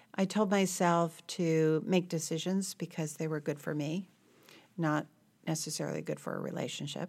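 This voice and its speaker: In an unremarkable speaking voice, a woman talks at a moderate pace. Her pitch is fairly low and her intonation fairly even. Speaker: hospital CEO and physician. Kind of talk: interview.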